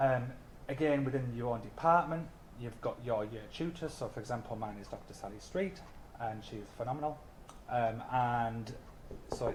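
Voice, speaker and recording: A man in a North East England accent talks at a moderate pace with a medium pitch and ordinary pitch variation. Long, frequent pauses break up his speech, and room echo is audible. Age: 30s. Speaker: mature anthropology student. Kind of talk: open day student talk. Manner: hesitant, many fillers.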